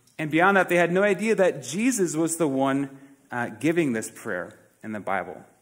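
Warm in tone, a man talks at a moderate pace. His fairly high pitch moves in very wide swings. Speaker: pastor. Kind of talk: sermon. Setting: church. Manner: earnest, warm, conversational preaching with frequent hesitations.

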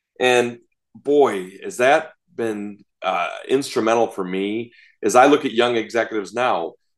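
A man's medium-pitched voice proceeds at a fairly slow pace. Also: ordinary pitch variation. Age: 50s. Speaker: hospital executive. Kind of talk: interview. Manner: halting, many fillers.

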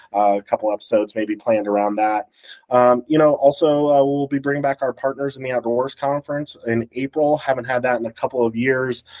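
An American man has an ordinary speaking voice at medium pitch, talking at a fairly quick pace with fairly even intonation. The sound is dry and close, with no echo. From Colorado. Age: 30s. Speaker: wildlife agency public information officer. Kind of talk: casual chat.

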